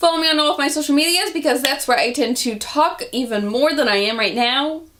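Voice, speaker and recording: A woman talks at a fairly quick pace with lively intonation and a high pitch. Audible room echo surrounds her voice. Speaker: vlogger. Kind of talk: casual vlog talk. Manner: animated.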